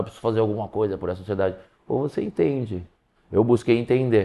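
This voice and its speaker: Very fast talk from a man, with pitch varying in an ordinary way. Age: 40s. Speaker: professional skateboarder. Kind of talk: casual interview.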